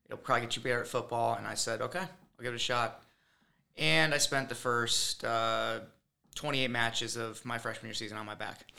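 This man talks at a fairly quick pace with an American accent, medium pitch and ordinary pitch variation. His tone is bright and sharp, with vocal fry. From Michigan, Lansing. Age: 20s. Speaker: assistant wrestling coach. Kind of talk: casual interview.

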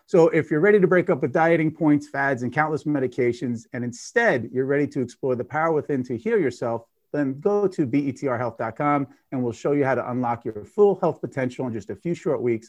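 Against a quiet background, a man with an unremarkable speaking voice talks at a fairly quick pace and fairly high pitch, with lively intonation and hardly any pauses. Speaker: podcast host and gut health expert. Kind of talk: casual interview chat.

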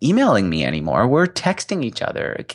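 A man speaks at a fairly quick pace with vocal fry. The background is quiet. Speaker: entrepreneur and interviewee. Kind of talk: casual interview. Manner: fast talker.

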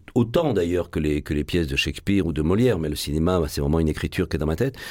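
In a very clean recording with a silent background, a man speaks at a very deep, low pitch with a Marseille accent. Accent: Marseille accent, cultivated. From Marseille, France. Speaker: actor and stage director. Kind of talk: radio interview. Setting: studio.

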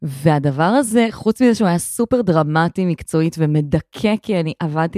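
This woman's voice has a dark, mellow tone and a fairly low pitch, with lively intonation at a moderate pace. The sound is dry and close with no echo, and the recording is very clean over a silent background. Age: 30s. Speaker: podcast co-host, social benefits expert. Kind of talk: casual chat. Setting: living room.

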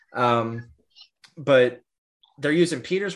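Here a man has a normal speaking voice at medium pitch. He talks at a fairly slow pace. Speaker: podcast host. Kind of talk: casual chat. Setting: video call.

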